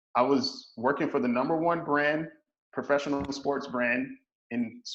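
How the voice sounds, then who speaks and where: A man speaks at a fairly high pitch in an unremarkable speaking voice. His pace is moderate and his intonation fairly even. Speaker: energy management coach. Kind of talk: interview.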